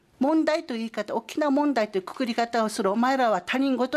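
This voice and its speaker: A woman speaks at a fairly quick pace in a high voice with lively intonation. The background is quiet. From Okinawa, Japan. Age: 50s. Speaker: photographer. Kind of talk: interview testimony.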